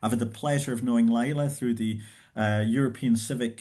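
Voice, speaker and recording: Speaking at a moderate pace, a man with a Scottish accent uses a medium pitch, a dark, mellow tone and fairly even intonation. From Scotland. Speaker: professor and event host. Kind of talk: host introduction. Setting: video call.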